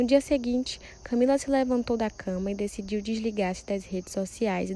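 Her tone is dark and mellow, with a fairly high pitch. This woman talks at a fairly quick pace with ordinary pitch variation. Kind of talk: dramatic narration of a telenovela-style story, like a soap opera announcer. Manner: animated, suspenseful, theatrical delivery with raised intensity at the cries of alarm; formal, storyteller's pacing, building mystery.

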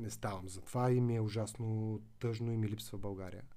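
With audible room echo, a man of medium pitch and a dark, mellow tone speaks at a moderate pace with ordinary pitch variation. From Bulgaria, Veliko Tarnovo. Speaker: digital marketing agency director and lecturer. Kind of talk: podcast interview.

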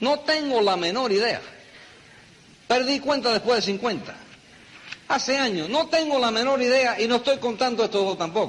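Over noticeable background noise, a man with an extremely high pitch and lively intonation keeps very even loudness while taking long, frequent pauses. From New York, the Bronx. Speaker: network marketing leader. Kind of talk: motivational talk.

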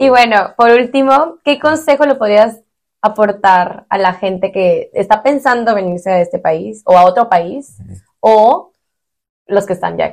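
A woman with an ordinary speaking voice talks at a fairly slow pace, her pitch fairly high and her intonation lively. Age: 20s. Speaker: podcast host. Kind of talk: casual interview.

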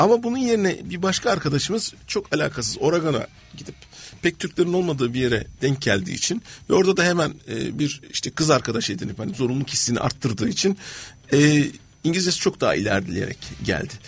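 Very fast speech from a man, fairly high in pitch, with very wide pitch swings. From Turkey. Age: 50s. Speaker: innovation and change management consultant. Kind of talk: radio interview.

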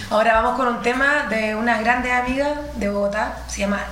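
A woman with a Chilean accent and fairly high pitch, at a moderate pace with fairly even intonation, over noticeable background noise. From Chile, Quillota. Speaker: radio co-host. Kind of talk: casual chat.

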